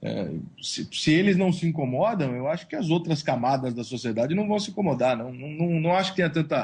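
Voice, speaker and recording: In a São Paulo accent, a somewhat breathy man talks at a fairly quick pace with fairly high pitch and lively intonation. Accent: paulista. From São Paulo, Brazil. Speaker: sports blogger and journalist. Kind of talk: interview. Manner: casual, slangy.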